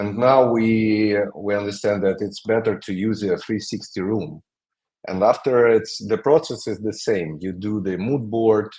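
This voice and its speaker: A man speaks fairly slowly with a non-native accent. His pitch is fairly low and his intonation fairly even. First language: not English. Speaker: creative director of a design studio. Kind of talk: interview. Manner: halting.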